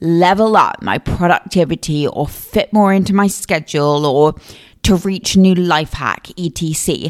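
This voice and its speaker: A woman speaks at a medium pitch in a southern English accent, at a fairly slow pace. The recording is very clean, with a silent background. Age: 20s. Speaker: podcast host. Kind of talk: solo podcast monologue. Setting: home recording. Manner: casual, chatty.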